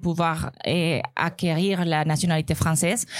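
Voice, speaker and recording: At a fairly slow pace, a woman speaks with a Spanish accent and a fairly low pitch. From Colombia. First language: Spanish (speaking French). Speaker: restaurant owner and tech employee. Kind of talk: live podcast panel testimony. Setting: live recording before an audience.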